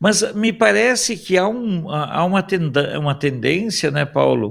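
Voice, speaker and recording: A man talks very slowly, his pitch swinging very widely. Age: 60s. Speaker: political commentator. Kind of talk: talk show commentary.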